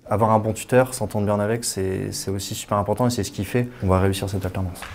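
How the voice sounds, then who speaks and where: With noticeable background noise behind him, a man with a fairly low pitch and fairly even intonation talks at a very fast pace. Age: 20s. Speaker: bank employee, former work-study student. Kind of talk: interview testimony. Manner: hesitant, with fillers and repetitions.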